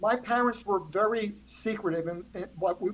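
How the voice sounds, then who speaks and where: Moderate-paced speech from a woman at a medium pitch, its pitch varying in an ordinary way. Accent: New Jersey. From New Jersey, US. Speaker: author. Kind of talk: interview conversation.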